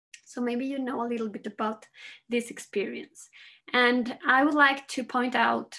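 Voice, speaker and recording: A woman with a Spanish accent speaks fairly slowly in a high voice with fairly even intonation. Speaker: psychologist and researcher. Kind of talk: conference presentation. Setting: video call.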